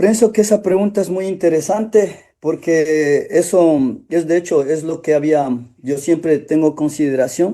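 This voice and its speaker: A man speaks at a fairly slow pace with a fairly high pitch, ordinary pitch variation, and long, frequent pauses. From Otavalo, Ecuador. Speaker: actor. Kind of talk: interview. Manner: halting, with many restarts.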